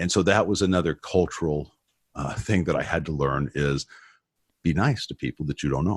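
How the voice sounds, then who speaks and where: Speaking at a fairly quick pace, a man with a very deep, low voice and vocal fry shows ordinary pitch variation. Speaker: former prisoner turned ministry speaker. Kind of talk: testimony interview. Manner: loud.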